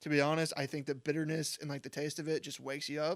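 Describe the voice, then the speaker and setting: Fairly quick and monotone, a man speaks at a fairly high pitch with flat intonation in a very clean recording with a silent background. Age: 20s. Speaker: college student podcast co-host. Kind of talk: casual chat. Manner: hesitant, filler-heavy.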